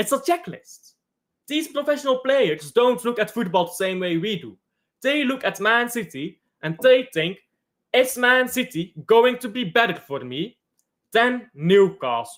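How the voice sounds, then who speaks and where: Speaking at a fairly slow pace in a Flemish accent, the voice comes through on a very clean recording with a silent background. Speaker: football streamer reading chat. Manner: hesitant, many fillers.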